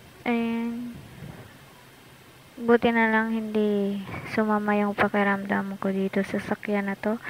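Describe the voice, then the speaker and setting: A soft-spoken woman, fairly high in pitch, at a fairly slow pace in a monotone, flat intonation with long, frequent pauses and noticeable background noise. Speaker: travel vlogger. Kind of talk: casual travel vlog narration. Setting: in a car.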